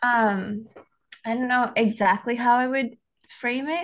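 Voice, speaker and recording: A woman with an American accent, high-pitched and fairly even in intonation. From Tennessee, US. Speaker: missionary and nonprofit worker. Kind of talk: casual interview.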